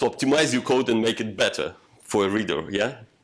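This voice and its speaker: This man talks at a medium pitch and a moderate pace. His pitch variation is ordinary. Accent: non-native. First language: not English. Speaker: software developer, meetup speaker. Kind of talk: technical talk with discussion. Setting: meetup room with audience. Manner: halting, many fillers.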